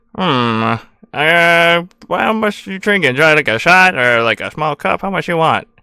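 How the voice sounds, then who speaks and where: On a very clean recording with a silent background, a put-on character voice at middle pitch speaks at a moderate pace. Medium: actual play. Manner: folksy, friendly.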